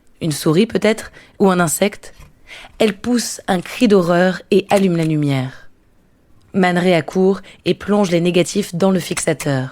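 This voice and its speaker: A woman speaks at a fairly slow pace, her pitch medium with ordinary variation. Long pauses come often. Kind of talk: documentary narration.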